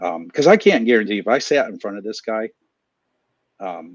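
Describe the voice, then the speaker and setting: The voice moves at a moderate pace with ordinary pitch variation. The sound is dry and close with no echo, and the background is quiet. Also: man. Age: 40s. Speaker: small business owner.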